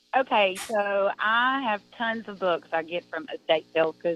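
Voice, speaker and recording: With an American accent, a woman speaks at a very slow pace and a medium pitch, with very wide pitch swings. Music plays in the background. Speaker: caller. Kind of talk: call-in conversation. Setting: phone call.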